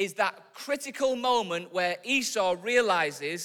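This is a speaker reading aloud. It comes in a natural voice.

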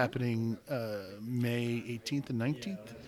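Here a man with a normal speaking voice talks at a medium pitch with fairly even intonation. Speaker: podcast host and homebrew shop owner. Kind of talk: casual chat.

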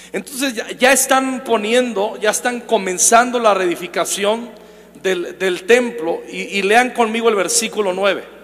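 A man talks with a high pitch. Audible room echo and noticeable background noise come through. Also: ordinary pitch variation, fairly slow pace. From Mexico, Michoacán. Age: 40s. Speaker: preacher. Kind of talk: sermon.

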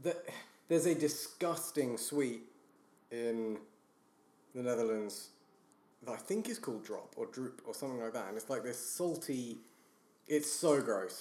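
A man with a British accent speaks fairly slowly at a medium pitch, taking long, frequent pauses. His intonation is lively, and audible room echo surrounds him. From Britain. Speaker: podcast guest. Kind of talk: casual chat.

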